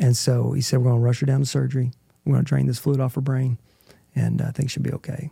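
Speaking very fast with an American accent, a man has a dark, mellow, somewhat breathy tone in a dry, close sound with no echo. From Oklahoma. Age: 40s. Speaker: adoptive father, former engineer.

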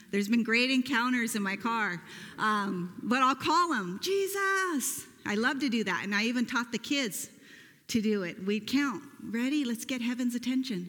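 A loud woman speaks at a moderate pace with a high pitch. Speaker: pastor. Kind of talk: sermon. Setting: church.

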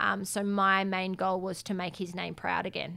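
With an Australian accent, a woman speaks at medium pitch and a moderate pace. Her tone is bright and sharp, her intonation flat and monotone. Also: very clean recording, silent background. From South Australia, Adelaide. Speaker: professional boxer. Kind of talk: interview.

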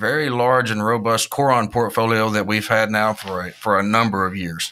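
A man with a Southern US accent speaks at a medium pitch and a moderate pace, his intonation fairly even. The recording is very clean with a silent background. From Mississippi. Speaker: agricultural brand manager. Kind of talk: interview.

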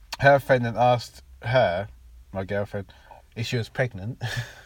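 This man speaks at a moderate pace. His pitch sits in the medium range with ordinary variation. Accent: English. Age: 30s. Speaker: podcast co-host. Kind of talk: casual chat.

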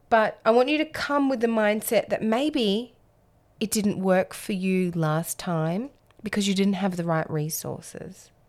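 In an Australian accent, a woman speaks at a medium pitch with lively intonation and a fairly slow pace. The recording is very clean, with a silent background. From Australia, Alice Springs. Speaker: podcast host. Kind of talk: solo monologue.

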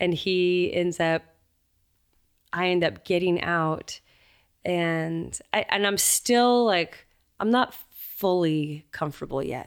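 At a very slow pace with long, frequent pauses, a woman speaks at a fairly low pitch with ordinary pitch variation on a very clean recording with a silent background. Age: 30s. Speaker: singer-songwriter and author. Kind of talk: casual chat. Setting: recording studio.

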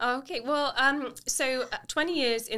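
On a very clean recording with a silent background, the voice has a bright, sharp tone. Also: woman. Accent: London. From England, London. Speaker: real estate agent and podcast host. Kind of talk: casual interview.

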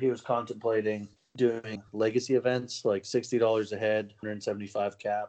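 His intonation is flat and monotone. The man keeps to a moderate speed. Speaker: co-host or regular guest, card game player. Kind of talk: casual banter podcast chat. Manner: profane, casual.

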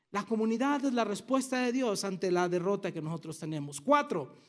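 A man with lively intonation on a very clean recording against a silent background. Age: 50s. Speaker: pastor. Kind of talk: sermon.

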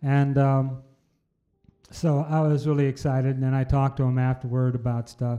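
At a moderate pace, a man with a Midwestern US accent speaks in a fairly high pitch, his tone dark and mellow and his intonation fairly even. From Iowa. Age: 70s. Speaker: blues musician and former pastor. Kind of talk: casual interview.

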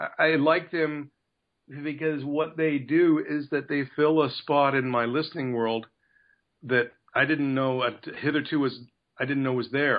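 A man with a Canadian accent talks in an ordinary speaking voice with a fairly high pitch. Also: fairly even intonation, fairly slow pace. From Canada. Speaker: actor. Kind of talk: casual interview.

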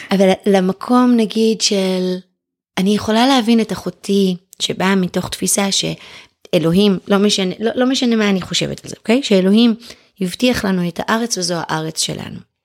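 A woman with an ordinary speaking voice talks at a moderate pace, at a medium pitch with ordinary pitch variation. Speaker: writer and former homeschooling mother. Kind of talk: casual chat.

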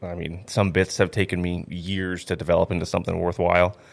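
A man talks at a very fast pace with an Upper Midwest accent. His pitch is very deep and low, and the recording is very clean with a silent background. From North Dakota, Grand Forks. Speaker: stand-up comedian. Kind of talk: casual chat.

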